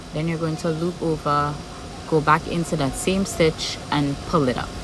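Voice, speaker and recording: The speaker has a strong Trinidadian accent. Music plays in the background. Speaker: crochet tutorial creator. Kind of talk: tutorial. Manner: regular speed, step-by-step.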